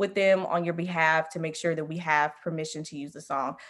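A woman with an American accent and an ordinary speaking voice, fairly low in pitch, at a fairly quick pace. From US South, Memphis, Tennessee. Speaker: music industry professional. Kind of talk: interview.

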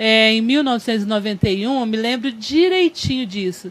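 A woman speaks in an ordinary speaking voice, pitched fairly high. Her intonation is lively. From Franca, São Paulo state, Brazil. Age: 50s. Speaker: city councillor and history teacher. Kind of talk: podcast interview.

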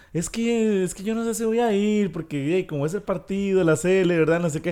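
A man speaks with a Costa Rican accent at a moderate pace. His tone is dark and mellow. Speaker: podcast co-host. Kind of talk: casual chat.

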